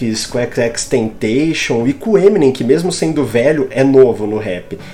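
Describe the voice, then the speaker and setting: A man's fairly high voice at a very slow pace, with very wide pitch swings and music in the background. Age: 20s. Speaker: podcast host. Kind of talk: casual chat. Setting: live stream.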